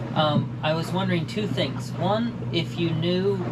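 Through loud background noise, a man speaks at a fairly slow pace. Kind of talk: phone call inquiry. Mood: polite, slightly hesitant. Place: boat. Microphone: camera far.

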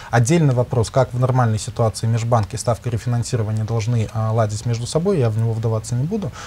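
Somewhat breathy and dark, mellow in tone, the voice races at a very fast pace with hardly any pauses and fairly even intonation. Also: man, medium pitch for a man. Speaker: economic researcher. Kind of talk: expert discussion. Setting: studio. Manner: halting.

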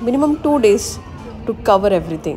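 A woman at a moderate pace, with clear music playing in the background. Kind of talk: casual vlog chat. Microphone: phone near.

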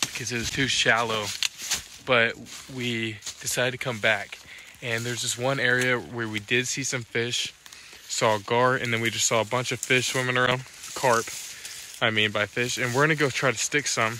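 With monotone, flat intonation, a man talks at a moderate pace in a dry, echo-free recording with noticeable background noise. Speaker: outdoors vlogger. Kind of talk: casual vlog chat. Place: waterside. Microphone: phone near.

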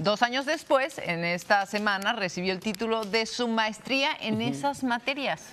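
A woman speaks at a fairly high pitch with lively intonation and a moderate pace, hardly pausing at all. Noticeable background noise can be heard. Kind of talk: television news co-anchor banter. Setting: studio.

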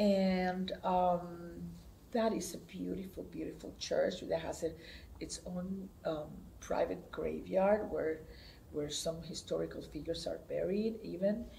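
Speaking with a Spanish accent, a woman goes at a fairly slow pace. Light background noise is present. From Puerto Rico, Comerío; Puerto Rico. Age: 70s. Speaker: theater director. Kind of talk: oral history interview. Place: hall.

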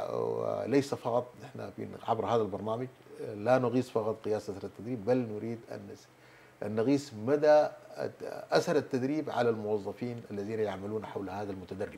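Loudness swings widely as a man talks at a moderate pace. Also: ordinary pitch variation. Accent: Sudanese. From Sudan. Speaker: government minister; guest. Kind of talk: TV interview; interview answer. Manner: halting. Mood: calm, explanatory. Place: studio. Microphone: lapel.

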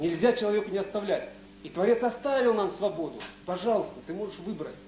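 A man's high-pitched voice at a fairly quick pace, with ordinary pitch variation, audible room echo and light background noise. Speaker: researcher; lecturer. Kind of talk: lecture. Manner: fast. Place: hall. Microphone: podium.

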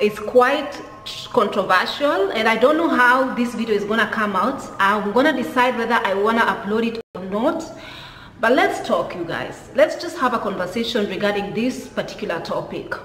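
A woman speaks at a moderate pace. Audible room echo and light background noise come through. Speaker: commentary vlogger. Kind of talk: casual vlog chat. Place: home room. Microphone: phone near.

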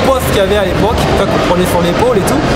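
A man talks at a very fast pace with crowd noise in the background. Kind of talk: interview answer. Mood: warm, laughing reminiscence. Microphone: phone near.

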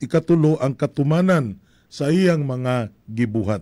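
Over a quiet background, the voice has a dark, mellow tone. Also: man. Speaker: priest. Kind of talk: homily. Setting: live streaming. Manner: formal, measured preaching; earnest, reflective. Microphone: studio mic.

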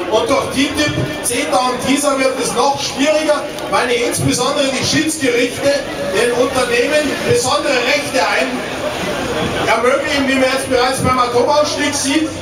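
A man at a moderate pace, with audible room echo and clear music in the background. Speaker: politician on panel. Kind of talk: public panel answer. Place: stage.

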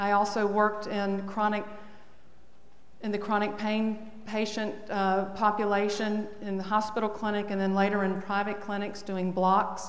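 A woman at a moderate pace in a monotone, flat intonation, with audible room echo. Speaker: conference speaker. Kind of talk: lecture. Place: hall. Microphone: podium.

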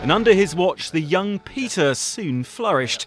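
A man with a high pitch speaks at a moderate pace, his pitch swinging very widely. Music plays in the background, and the sound is dry and close with no echo. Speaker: news report narrator. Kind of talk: broadcast news obituary narration.

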